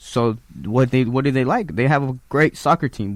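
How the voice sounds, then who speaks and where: In a Spanish accent, a man talks at a fairly quick pace with a medium pitch and ordinary pitch variation, on a very clean recording with a silent background. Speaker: musician. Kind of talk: casual interview.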